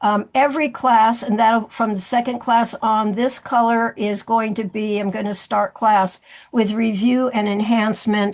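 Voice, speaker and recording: At a fairly slow pace, a woman talks with hardly any pauses. Her pitch is fairly high and her intonation fairly even. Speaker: seminar presenter, movement teacher. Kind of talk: presentation of course slides. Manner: halting, many fillers.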